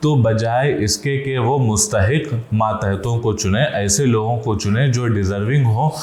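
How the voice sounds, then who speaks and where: Holding a very even loudness, a man with an unremarkable speaking voice talks at a medium pitch with ordinary pitch variation. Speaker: Islamic scholar giving a lecture. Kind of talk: Islamic sermon (bayan) on corruption, addressing the audience.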